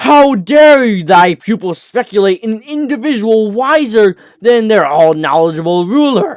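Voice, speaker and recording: Shouting in a put-on character voice at a moderate pace, with hardly any pauses and very wide pitch swings. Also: man, high pitch for a man. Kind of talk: archaic, formal. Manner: screaming, indignant, haughty.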